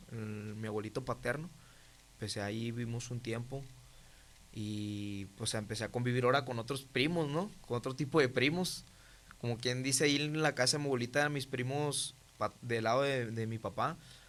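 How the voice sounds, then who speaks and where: Speaking at a moderate pace, a man has a medium pitch and ordinary pitch variation. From Mexico, Monterrey (Nuevo León). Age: 20s. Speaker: testimony guest. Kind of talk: testimony. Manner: halting, many fillers.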